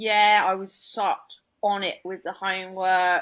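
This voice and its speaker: A woman talks in a London accent. Her pace is very slow. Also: very clean recording, silent background. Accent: London accent, noticeable. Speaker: comedian. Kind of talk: casual chat.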